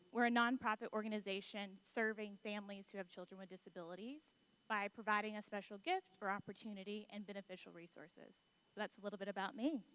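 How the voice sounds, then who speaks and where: A woman with a Southern US accent at medium pitch, very fast and fairly even in intonation, bright and sharp in tone, with big swings in loudness and a dry, close sound with no echo. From US South, near Atlanta, Georgia. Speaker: marketing executive, panelist. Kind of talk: panel discussion. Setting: conference stage with audience.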